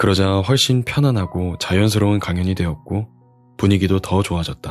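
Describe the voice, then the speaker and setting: Music plays behind a man whose very deep, low voice carries a calm, relaxed tone, moving at a moderate pace with ordinary pitch variation. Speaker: audiobook reader. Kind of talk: audiobook reading for sleep.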